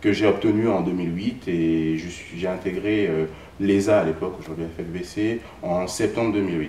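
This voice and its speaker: A man's very deep, low voice at a moderate pace, with fairly even intonation, audible room echo and noticeable background noise. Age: 20s. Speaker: accountant, former student. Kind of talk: interview. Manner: hesitant, many fillers.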